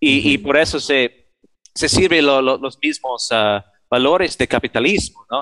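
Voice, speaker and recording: A man with an English accent speaks at a fairly slow pace, his fairly high pitch moving with ordinary variation. His tone is bright and sharp, and the sound is dry and close with no echo. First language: English (speaking Spanish). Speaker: archaeologist, member of an aid collective. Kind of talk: interview. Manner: halting, many repetitions.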